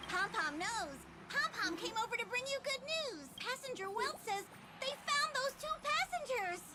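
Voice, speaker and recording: Extremely high-pitched put-on character voice, delivered at a moderate speed. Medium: video game. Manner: speaks of itself in third person.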